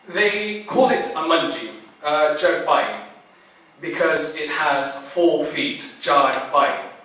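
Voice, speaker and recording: There is noticeable background noise. Through it, a man talks very slowly. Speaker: poet. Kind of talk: spoken word poetry performance. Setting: live event.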